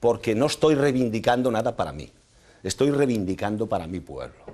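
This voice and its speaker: This man talks at a moderate pace with lively intonation and vocal fry. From northwest Spain, El Bierzo (León); northwest Spain. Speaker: mayor and candidate; mayor, candidate. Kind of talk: heated debate. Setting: TV studio. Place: studio. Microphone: lapel.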